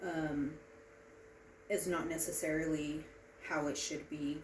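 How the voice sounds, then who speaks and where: Amid noticeable background noise and audible room echo, a woman speaks in a flat monotone at a very deep, low pitch. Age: 30s. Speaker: student giving a class speech. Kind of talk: informative speech. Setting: presentation to small audience. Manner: halting, many filler ums.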